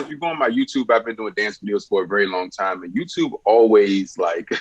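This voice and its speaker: An American accent at a fairly quick pace, with very wide pitch swings over noticeable background noise. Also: man. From Richmond, Virginia. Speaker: musician and dancer. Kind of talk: casual interview.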